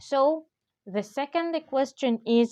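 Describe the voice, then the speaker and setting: At a very slow pace, a woman with an Arabic accent speaks in a high voice with a dark, mellow tone and ordinary pitch variation, the sound dry and close with no echo. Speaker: English teacher. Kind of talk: tutorial. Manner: hesitant, many fillers.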